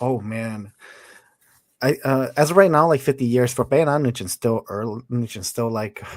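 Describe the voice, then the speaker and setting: A man with an American accent at medium pitch, on a very clean recording with a silent background. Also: ordinary pitch variation, moderate pace. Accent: Hmong American. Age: 30s. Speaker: martial artist. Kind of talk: casual chat.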